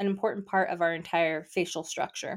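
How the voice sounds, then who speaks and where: The recording is very clean and the background silent. In it, a woman speaks. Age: 40s. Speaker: esthetician and podcast host. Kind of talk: solo educational podcast monologue. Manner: animated.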